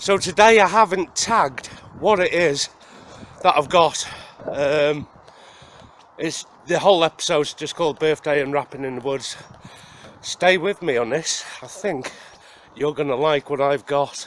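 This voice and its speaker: Speaking at a fairly slow pace with a Welsh accent, the voice breaks often into long pauses over noticeable background noise. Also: man, fairly high pitch for a man, ordinary pitch variation. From Wales. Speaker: outdoor survival vlogger. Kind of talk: casual vlog talk to camera. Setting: outdoors in the woods.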